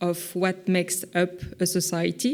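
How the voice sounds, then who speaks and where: A woman speaks very slowly at a medium pitch with a French accent. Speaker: visual artist. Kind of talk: conference talk. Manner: halting, many fillers.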